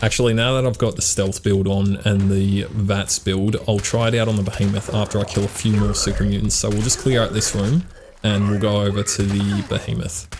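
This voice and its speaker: There is noticeable background noise. Through it, a man speaks at a fairly low pitch and a moderate pace. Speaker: gaming YouTuber. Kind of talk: gameplay commentary.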